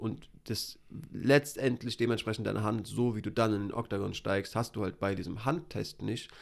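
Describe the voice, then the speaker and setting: A man speaks with vocal fry and ordinary pitch variation. The recording is very clean, with a silent background. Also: medium pitch for a man, moderate pace. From Hesse, Germany. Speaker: MMA podcast co-host. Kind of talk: casual chat.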